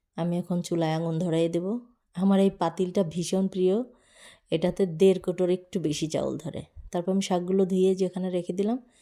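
A woman's dark, mellow tone at a medium pitch, on a very clean recording with a silent background. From Bangladesh, Magura district. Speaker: village cooking vlogger. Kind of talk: vlog narration. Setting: outdoors in village fields. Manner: animated.

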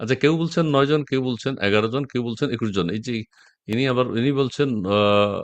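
A man's medium-pitched voice with ordinary pitch variation against a quiet background. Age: middle-aged. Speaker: political talk show host. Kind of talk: live political talk show. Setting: live stream video call.

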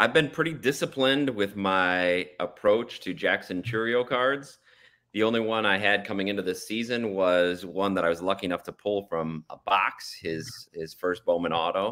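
Against a quiet background, a man talks at a moderate pace in a fairly low pitch with a bright, sharp tone. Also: ordinary pitch variation. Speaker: father of co-host. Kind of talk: casual chat. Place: home room.

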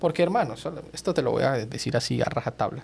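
A man talks at a moderate pace. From Colombia. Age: 30s. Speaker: TV journalist. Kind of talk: casual chat.

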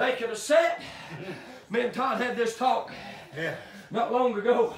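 The voice shows ordinary pitch variation, with audible room echo and light background noise. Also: man, extremely high pitch for a man. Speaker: Baptist preacher giving a sermon at a tent revival. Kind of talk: revival sermon. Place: tent. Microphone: camera far.

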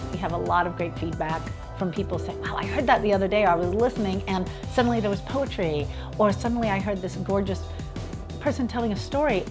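Clear music plays in the background. Over it, a woman talks at a very fast pace. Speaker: radio poetry show co-host. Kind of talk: interview answer, casual talk about community radio. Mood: warm, enthusiastic, reflective. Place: home room.

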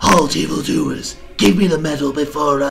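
A man does a put-on character voice with a raspy edge. He speaks at a moderate pace. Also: fairly high pitch for a man. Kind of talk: theatrical, exaggerated. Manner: bombastic, mumbling.

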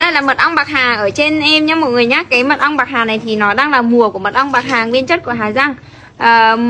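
A woman's raised, projected voice at a fairly quick pace, with ordinary pitch variation and light background noise. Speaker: rural food vlogger. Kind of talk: casual vlog chat with product promotion.

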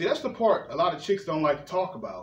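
A man is speaking. Audible room echo is present. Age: 30s. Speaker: podcast host. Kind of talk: casual chat. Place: home room.

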